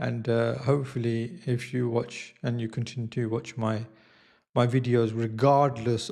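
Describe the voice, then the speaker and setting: A man speaks at a medium pitch with a dark, mellow tone and fairly even intonation. The recording is very clean, with a silent background. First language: not Italian; learning Italian. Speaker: YouTuber / vlogger. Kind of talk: casual vlog monologue. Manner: slow; hesitant, many fillers.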